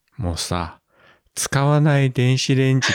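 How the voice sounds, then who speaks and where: The speaker has a normal speaking voice at a fairly slow pace. The recording is very clean with a silent background. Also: man, dry, close sound with no echo. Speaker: podcast host. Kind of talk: casual chat.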